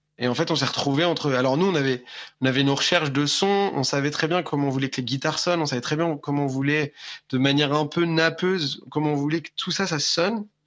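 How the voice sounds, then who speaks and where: Over a quiet background, a man talks at a very fast pace. His pitch is fairly high and his intonation fairly even. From France. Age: 20s. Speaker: rock musician. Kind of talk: interview. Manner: halting, many repetitions.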